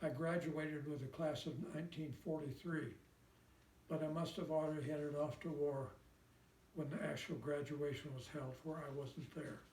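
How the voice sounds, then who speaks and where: Against noticeable background noise and audible room echo, a man with an American accent speaks at a fairly high pitch and moderate pace, his intonation monotone and flat. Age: 90s. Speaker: war veteran. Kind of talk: recorded personal message.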